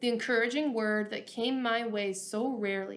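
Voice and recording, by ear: Someone reads aloud in a natural voice.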